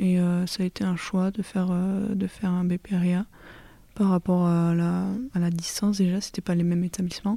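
With a dark, mellow tone, a woman speaks at a medium pitch in a monotone, flat intonation at very even loudness. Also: moderate pace. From southern France, Lot. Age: 20s. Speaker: agricultural apprentice. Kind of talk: interview. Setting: at her home. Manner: hesitant, many fillers.

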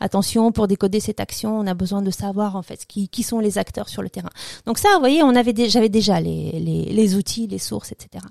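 Recorded with a dry, close sound and no echo, a woman speaks at a moderate pace with big swings in loudness. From former Soviet Union. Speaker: political science lecturer. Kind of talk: interview. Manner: halting.

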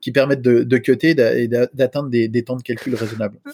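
This man talks at a fairly quick pace. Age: 40s. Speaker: software engineer. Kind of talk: casual chat. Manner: hesitant.

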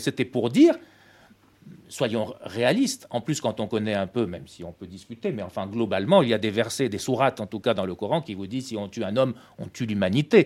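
A man with a medium-pitched voice talks very fast. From Tunisia. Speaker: press cartoonist. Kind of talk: classroom talk. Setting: school.

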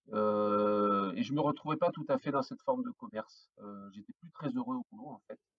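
A man's very wide pitch swings come at a moderate pace in a dry, close sound with no echo. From northern France (Flanders). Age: 40s. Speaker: craft brewer, entrepreneur. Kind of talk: podcast interview. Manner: hesitant, many fillers and repetitions.

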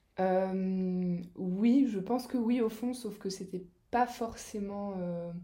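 A woman speaks at a fairly low pitch in a dark, mellow, somewhat breathy tone. Her pitch variation is ordinary, and the room has an audible echo. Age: 30s. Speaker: massage therapist. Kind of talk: casual interview.

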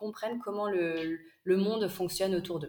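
Pitched at a medium level, a woman's voice moves with ordinary pitch variation. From northern France, Lille. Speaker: entrepreneur, micro-nursery co-founder. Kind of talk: interview. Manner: hesitant, many fillers.

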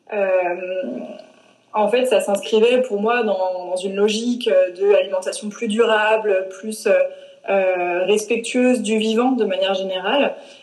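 A woman speaks at a very slow pace with a medium pitch and fairly even intonation. The room echo is audible, and background noise is noticeable. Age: 20s. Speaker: plant-based nutrition coach. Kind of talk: interview. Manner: hesitant, many fillers.

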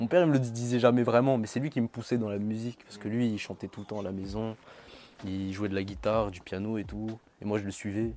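A man talks at a very fast pace with a fairly low pitch. Music plays in the background. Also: ordinary pitch variation, big swings in loudness. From Madagascar. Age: young. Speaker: R&B singer. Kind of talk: interview. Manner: casual.

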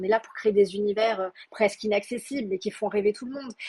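This woman's voice is fairly high-pitched and somewhat breathy. Its tone is dark and mellow. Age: 30s. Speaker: Korean cosmetics expert. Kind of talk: interview. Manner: halting.

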